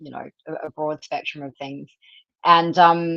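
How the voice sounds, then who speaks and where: Speaking with an Australian accent, a woman sounds dry and close, free of echo. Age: 40s. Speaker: carnivore diet advocate, nutrition student. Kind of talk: casual livestream interview. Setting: livestream video call.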